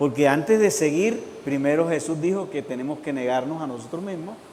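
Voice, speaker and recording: A man's fairly high-pitched voice with lively intonation at a fairly slow pace, in audible room echo. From Colombian Caribbean coast. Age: 60s. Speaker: pastor. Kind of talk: sermon.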